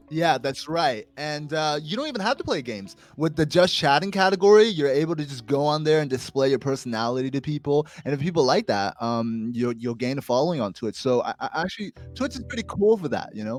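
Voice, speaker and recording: In an unremarkable speaking voice, a man talks at a fairly quick pace with fairly high pitch and lively intonation, hardly pausing. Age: 20s. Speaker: podcast co-host. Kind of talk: casual chat.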